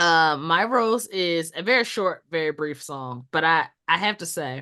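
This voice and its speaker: A woman with an American accent speaks in a bright, sharp tone with very wide pitch swings and big swings in loudness. The background is quiet. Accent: Southern accent, comes out when irritated. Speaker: podcast co-host. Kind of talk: casual chat, album review.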